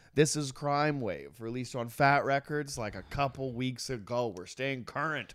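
A man with an ordinary speaking voice, medium pitch, moderate pace, ordinary pitch variation and hardly any pauses, on a very clean recording with a silent background. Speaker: music podcast co-host. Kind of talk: casual chat.

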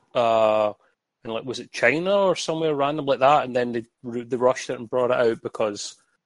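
An unremarkable speaking voice with ordinary pitch variation over a quiet background. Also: man, big swings in loudness, dry, close sound with no echo. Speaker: community member. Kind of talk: casual chat.

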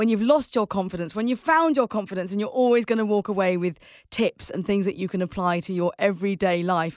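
A woman with a fairly high pitch and lively intonation has a plain, everyday voice, heard in a very clean recording with a silent background. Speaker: podcast host. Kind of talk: casual interview chat. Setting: studio.

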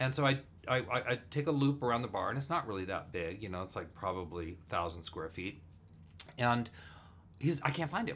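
Fairly quick speech with an American accent and very wide pitch swings. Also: man, medium pitch for a man. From US, Burbank, California. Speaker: actor and improviser. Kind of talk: casual chat. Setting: home studio.

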